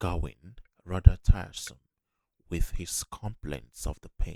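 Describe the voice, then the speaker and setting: A soft-spoken man talks at a very slow pace in a gentle, dark, mellow tone with ordinary pitch variation. The sound is dry and close, with no echo. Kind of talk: ASMR book reading. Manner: soft-spoken, gentle.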